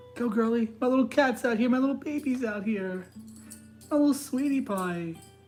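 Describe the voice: A woman at a fairly high pitch and moderate pace, with lively intonation and music in the background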